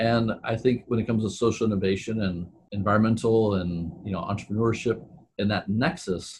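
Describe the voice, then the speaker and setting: A somewhat breathy man with fairly low pitch and fairly even intonation. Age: 40s. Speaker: entrepreneur and sustainability consultant. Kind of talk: casual interview.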